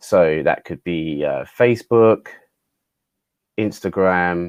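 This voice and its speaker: With a British accent, a man speaks at a fairly low pitch in a dry, close sound with no echo. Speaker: customer success specialist. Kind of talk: webinar tutorial. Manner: casual, hesitant with fillers.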